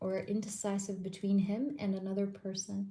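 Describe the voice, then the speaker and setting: A quiet, somewhat breathy voice with a dark, mellow tone. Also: woman. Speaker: tarot reader. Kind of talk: live stream tarot reading. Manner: quiet, lowered voice; casual, filler-heavy.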